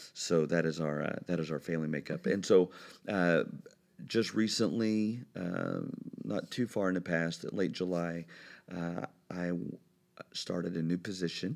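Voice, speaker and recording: A very deep, low-pitched man with an American accent, at a fairly slow pace with long, frequent pauses and ordinary pitch variation, on a very clean recording with a silent background. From Indiana, US Midwest. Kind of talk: casual interview. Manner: halting, many fillers.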